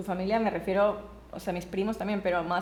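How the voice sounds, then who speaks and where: A woman at a medium pitch talks at a fairly quick pace in a monotone, flat way, with noticeable background noise behind her. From Colombia, raised from 12 in Ecuador. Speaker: podcast guest. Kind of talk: casual family conversation.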